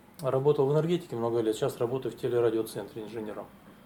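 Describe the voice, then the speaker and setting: A man speaks at a fairly quick pace in a somewhat breathy, dark and mellow voice, with ordinary pitch variation. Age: 60s. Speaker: prose writer, engineer. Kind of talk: talk at literary event. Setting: library event with audience.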